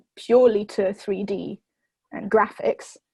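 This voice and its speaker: A woman's somewhat breathy, fairly high voice, monotone and flat, in a dry, close sound with no echo. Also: quiet background. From southern England (Oxford), moved from France at about nine. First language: French. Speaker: university student. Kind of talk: interview. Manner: hesitant, many fillers and restarts.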